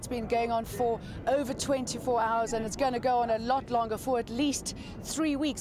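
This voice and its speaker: A woman's high-pitched voice with ordinary pitch variation, a fairly quick pace and noticeable background noise. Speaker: news presenter. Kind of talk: TV news interview questions.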